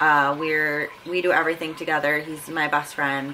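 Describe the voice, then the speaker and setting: A woman speaks in an American accent with a very deep, low pitch and flat, monotone intonation. Her pace is moderate, and background noise is noticeable. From Buffalo, New York, US. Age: 20s. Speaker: fitness vlogger, powerlifter. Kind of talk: casual vlog talk to camera. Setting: home, sitting in front of camera. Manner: casual with frequent fillers.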